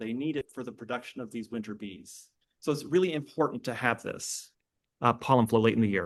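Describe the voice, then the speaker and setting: The man moves at a fairly quick pace, his intonation lively. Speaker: bee researcher. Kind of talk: lecture. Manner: fast.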